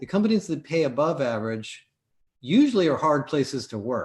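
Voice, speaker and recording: At a fairly quick pace, a man with a plain, everyday voice talks at a fairly high pitch. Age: 60s. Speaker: business owner. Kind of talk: live show discussion. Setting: live stream.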